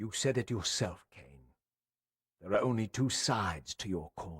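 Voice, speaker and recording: A man uses a put-on character voice, fairly low in pitch, at a moderate pace. The recording is very clean, with a silent background. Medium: video game.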